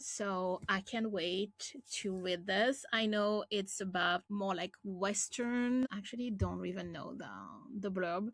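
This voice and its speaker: A woman with a French accent speaks at a fairly slow pace. Her pitch is medium and her intonation fairly even. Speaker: booktuber. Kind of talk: casual vlog with blurb reading.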